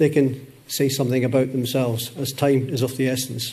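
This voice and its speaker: A man speaks with a Scottish accent, and audible room echo surrounds his voice. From Scotland. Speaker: conference session moderator. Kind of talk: conference talk.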